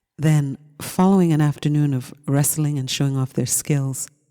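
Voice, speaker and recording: A soft-spoken voice with a calm, soothing tone that is dark and mellow. It moves at a moderate pace. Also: woman. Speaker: audiobook narrator. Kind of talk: audiobook reading. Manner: calm, soothing, soft-spoken.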